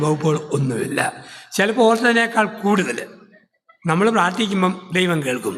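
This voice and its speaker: A high-pitched male voice with lively intonation. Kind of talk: sermon.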